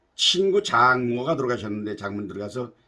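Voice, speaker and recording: This man's voice is bright and sharp at a medium pitch. His pitch swings very widely. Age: 80s+. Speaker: YouTuber. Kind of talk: monologue talk.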